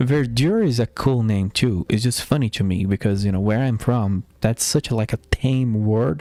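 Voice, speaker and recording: This man speaks with a Portuguese accent, at medium pitch and a moderate pace, with ordinary pitch variation. His tone is dark and mellow, and the sound is dry and close with no echo. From Brazil. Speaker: gaming streamer. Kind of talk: live stream gameplay commentary. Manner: casual, thinking aloud.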